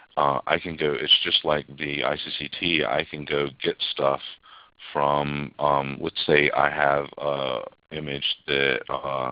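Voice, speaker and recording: Very deep and low, a man's voice moves at a very slow pace. His intonation is monotone and flat. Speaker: technical instructor. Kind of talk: live webinar demo. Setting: online webinar. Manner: hesitant, many fillers.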